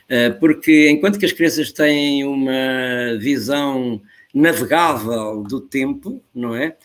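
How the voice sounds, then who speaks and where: Speaking at a very slow pace, a man with a European Portuguese accent has a fairly high pitch and ordinary pitch variation. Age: 70s. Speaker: professor. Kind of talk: interview. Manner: animated.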